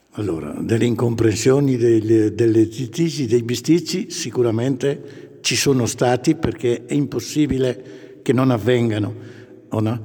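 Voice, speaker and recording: Speaking at a fairly slow pace, a man has a medium pitch and ordinary pitch variation. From northern Italy, Brescia province. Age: 60s. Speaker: grandfather and church volunteer. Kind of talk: interview. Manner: enthusiastic.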